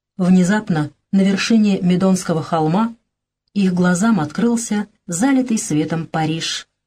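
The clip is plain reading aloud with ordinary pitch variation and a quiet background.

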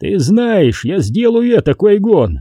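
Slowly and in a put-on character voice, a man growls at a high pitch with big pitch swings and a dark, mellow tone, the sound dry and close with no echo.

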